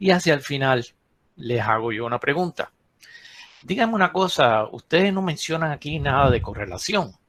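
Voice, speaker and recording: A man with a plain, everyday voice speaks at a moderate pace with lively intonation, the sound dry and close with no echo. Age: 60s. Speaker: geologist. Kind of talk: lecture. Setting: webinar.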